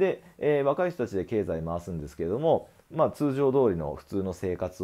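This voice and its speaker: His pitch swings very widely as this man talks at a moderate pace. The background is quiet. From Japan. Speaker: acupuncture clinic owner, health commentator; medical commentator. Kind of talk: solo video commentary. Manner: frequent filler hesitations. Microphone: earbuds.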